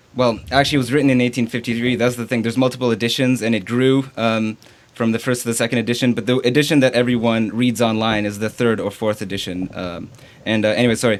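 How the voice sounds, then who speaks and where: A man talks at a very fast pace in a medium pitch with fairly even intonation. Background noise is noticeable. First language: French. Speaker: theology student. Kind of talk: interview. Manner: halting, many fillers.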